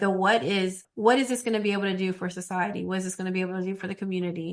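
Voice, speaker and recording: A woman's medium-pitched voice at a very fast pace with fairly even intonation. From small rural town. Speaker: TV executive producer. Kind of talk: podcast interview.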